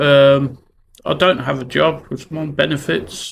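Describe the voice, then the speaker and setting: A man with a Brummie accent and a fairly high pitch talks at a fairly slow pace. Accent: Brummie (Birmingham). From Birmingham, England. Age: 40s. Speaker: vlogger on mental health. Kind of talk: personal vlog monologue. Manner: halting, many fillers.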